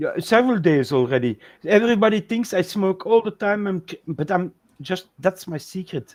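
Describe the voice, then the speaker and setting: A man speaks in a high pitch for a man with a non-native accent. His intonation is lively and his pace moderate. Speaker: talk show co-host. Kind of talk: casual chat.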